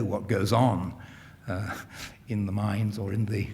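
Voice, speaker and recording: A man speaks at a fairly low pitch with a dark, mellow tone. There is audible room echo. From England, London. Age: 60s. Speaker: historian. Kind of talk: lecture Q&A answer. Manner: halting, frequent repetitions and fillers.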